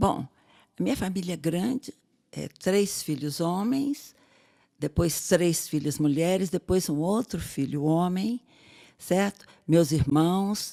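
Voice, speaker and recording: In a very clean recording with a silent background, a woman with a fairly low pitch speaks at a very slow pace with lively intonation, the sound dry and close with no echo. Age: 70s. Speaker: podcast co-host, biologist and sex educator. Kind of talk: casual chat.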